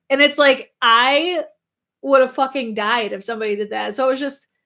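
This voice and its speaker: Projecting a raised voice at a moderate pace, a woman with an upstate New York accent speaks at a high pitch in a bright, sharp tone. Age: 20s. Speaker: beauty YouTuber. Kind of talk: casual livestream chat. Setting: live stream. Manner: animated.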